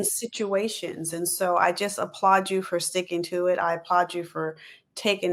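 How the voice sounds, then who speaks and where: Here a woman uses a plain, everyday voice, with fairly low pitch and fairly even intonation. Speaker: podcast interview host. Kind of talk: interview host talk.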